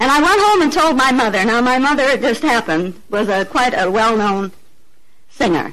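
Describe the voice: A woman with an American accent talks at a moderate pace, her fairly high, fairly bright voice showing lively intonation.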